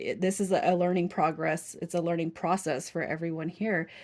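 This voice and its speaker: A woman with a fairly low pitch talks at a fairly quick pace with vocal fry. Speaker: tarot reader. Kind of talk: tarot reading. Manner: fast; animated.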